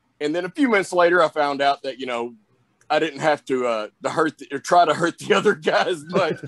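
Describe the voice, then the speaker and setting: Heard dry and close with no echo, a man with a Southern US accent talks at a fairly high pitch. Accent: Southern drawl. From US South. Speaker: pro wrestler. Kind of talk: interview. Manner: casual, many fillers.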